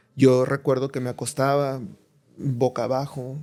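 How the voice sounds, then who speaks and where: The man's medium-pitched voice carries a dark, mellow tone at a moderate pace. The recording is very clean, with a silent background. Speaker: psychiatrist. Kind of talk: podcast interview. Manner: animated storytelling.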